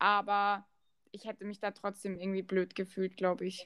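On a dry, close recording with no echo, a woman speaks at a moderate pace. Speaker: podcast host, former footballer. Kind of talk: casual chat. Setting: remote call.

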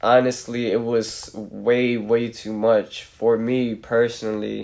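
Very slow, monotone, flat delivery with an American accent. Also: man. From Reading, Pennsylvania. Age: 20s. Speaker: guest, aspiring rapper. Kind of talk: casual chat. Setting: at host's home.

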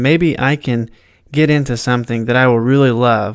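Speaking with an American accent, a man uses medium pitch, a moderate pace and fairly even intonation. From southern Indiana, US. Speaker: podcast host, beginning filmmaker. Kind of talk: casual solo monologue. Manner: hesitant, many fillers.

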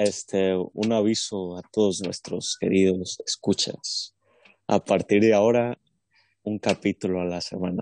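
Against a quiet background, a man speaks fairly slowly at a fairly low pitch with monotone, flat intonation, in a dry, close sound with no echo. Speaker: podcast co-host. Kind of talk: casual chat.

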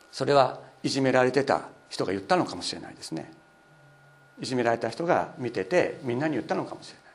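With noticeable background noise behind him, a man speaks fairly quickly at a medium pitch with lively intonation. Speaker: pastor. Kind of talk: sermon.

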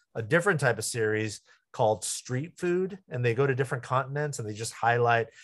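A man with an American accent, medium-pitched and somewhat breathy, at a fairly quick pace against a quiet background. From US West Coast, San Jose. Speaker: pastor. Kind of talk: interview.

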